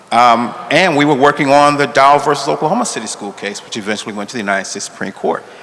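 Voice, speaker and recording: Lively intonation and big swings in loudness over noticeable background noise. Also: man, fairly high pitch for a man. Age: 60s. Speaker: law school dean, civil rights lawyer. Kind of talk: panel discussion. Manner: halting.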